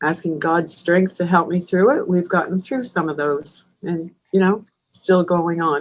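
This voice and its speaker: This woman speaks at a fairly low pitch with fairly even intonation. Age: 60s. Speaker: food bank manager. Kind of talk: interview. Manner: halting.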